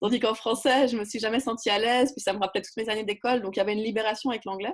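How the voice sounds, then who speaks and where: A woman talks very quickly, her voice sitting fairly high. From French-speaking region. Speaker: writer and community builder. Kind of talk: interview. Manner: animated.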